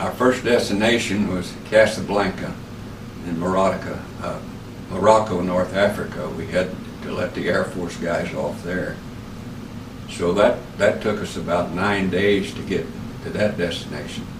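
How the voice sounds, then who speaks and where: Very deep, low-pitched male voice at a moderate pace, fairly even in intonation, with long, frequent pauses, audible room echo and noticeable background noise. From Oklahoma, Stevens County. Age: 70s. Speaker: army veteran. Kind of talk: personal testimony. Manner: halting, with fillers.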